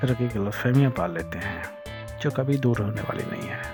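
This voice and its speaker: With music in the background, a man speaks at a medium pitch. His intonation is lively. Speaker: voiceover artist and podcast host. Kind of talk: reflective podcast monologue on love and heartbreak.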